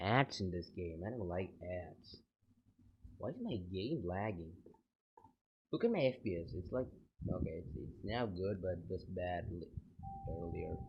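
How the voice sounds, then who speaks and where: Soft-spoken and somewhat breathy, a man talks at a fairly slow pace with long, frequent pauses, a very deep, low pitch, and ordinary pitch variation. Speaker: gaming YouTuber. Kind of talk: gameplay commentary. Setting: at home at night. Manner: quiet, talking softly.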